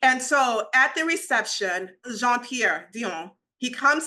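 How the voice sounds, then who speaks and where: A woman speaks in a raised, projected voice. Her tone is bright and sharp, and her pitch is high. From Nigeria. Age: 40s. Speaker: luxury PR entrepreneur. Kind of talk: interview conversation.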